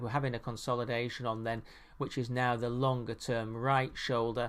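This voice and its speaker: An ordinary speaking voice from a man, moderately paced and medium in pitch. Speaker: market analyst. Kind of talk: technical chart analysis tutorial. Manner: many fillers.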